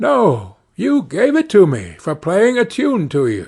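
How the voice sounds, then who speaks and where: Against a quiet background, a man in a put-on character voice speaks at a high pitch and a fairly slow pace, with very wide pitch swings. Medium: read story.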